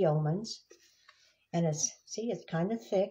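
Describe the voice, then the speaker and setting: A woman speaks at a fairly low pitch with a dark, mellow, somewhat breathy tone. The background is quiet. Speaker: devotional book reader. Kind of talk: casual devotional talk. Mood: gentle, warm. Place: home room. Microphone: phone near.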